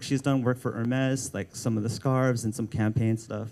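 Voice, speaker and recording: A man talks at a fairly quick pace with a Filipino American accent. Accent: Filipino American accent, self-noted. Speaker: art director. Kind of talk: book launch talk. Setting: live event with audience. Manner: hesitant, many fillers and restarts; casual, informal.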